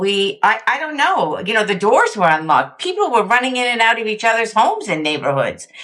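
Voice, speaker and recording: Speaking at a fairly quick pace, a woman with a fairly high pitch makes very wide pitch swings over noticeable background noise. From Canada, Montreal. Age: 60s. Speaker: sobriety movement founder. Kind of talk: interview.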